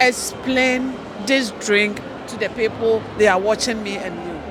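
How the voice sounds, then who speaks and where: Amid noticeable background noise and audible room echo, a woman with a Ghanaian accent speaks at a fairly slow pace in an animated tone. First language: Twi. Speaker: TV presenter. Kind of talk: event interview. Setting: community event.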